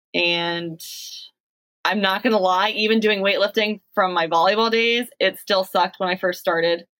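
With an ordinary speaking voice, a woman talks at a moderate pace and medium pitch, her intonation fairly even and her loudness very even. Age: 30s. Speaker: physical education teacher. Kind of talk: casual chat.

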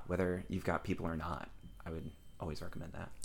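A man's voice carries vocal fry and ordinary pitch variation. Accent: American. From US Midwest. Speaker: actor and director. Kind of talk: casual interview chat.

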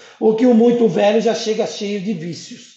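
A man with a high-pitched voice speaks over noticeable background noise, with audible echo in the room. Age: 50s. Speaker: sales coordinator. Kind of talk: interview.

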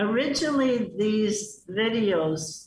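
A woman speaks with a Chicago accent. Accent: Chicago American English. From US Midwest (Chicago). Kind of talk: radio interview. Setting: video call into radio studio.

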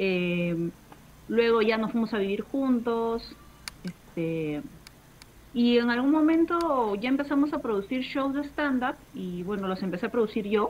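A woman talks at a fairly slow pace in a fairly high pitch. Hers is a plain, everyday voice with lively intonation. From Peru, Lima. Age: 30s. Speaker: stand-up comedian and show producer. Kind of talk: casual chat. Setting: home terrace, video call.

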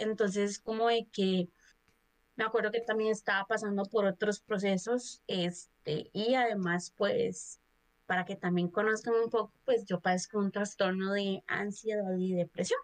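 At a fairly slow pace, a woman speaks at medium pitch with monotone, flat intonation in a dry, close sound with no echo. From Costa Rica, Cartago. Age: 20s. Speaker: podcast guest, HR worker. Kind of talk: casual chat.

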